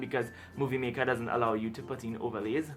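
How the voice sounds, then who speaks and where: A man speaks at a medium pitch and a very fast pace with music in the background. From Trinidad. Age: 20s. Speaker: book YouTuber. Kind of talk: casual talk to camera.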